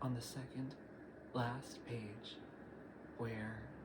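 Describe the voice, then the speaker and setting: Against noticeable background noise, a man speaks at a medium pitch with monotone, flat intonation. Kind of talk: audiobook reading.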